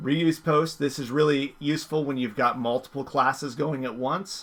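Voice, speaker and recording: Using an ordinary speaking voice, a man talks at a moderate pace with fairly even intonation. His pitch is fairly high. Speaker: teacher. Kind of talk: tutorial. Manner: casual, filler words.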